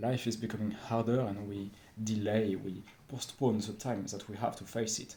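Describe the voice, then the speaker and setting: A man with a French accent speaks at a moderate pace, his pitch fairly low. His tone is dark, mellow and somewhat breathy, with fairly even intonation. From France. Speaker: vlogger. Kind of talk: unscripted monologue. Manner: halting, many fillers.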